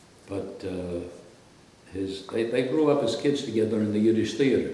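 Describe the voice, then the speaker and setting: Medium-pitched male speech with an American accent at a moderate pace, with audible room echo and noticeable background noise. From Brooklyn, New York (Brownsville). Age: 80s+. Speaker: radio host. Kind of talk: interview.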